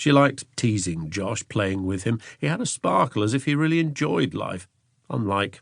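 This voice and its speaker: Against a quiet background, a man with a fairly low pitch talks at a moderate pace, his pitch swinging very widely. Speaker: audiobook narrator. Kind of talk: audiobook narration.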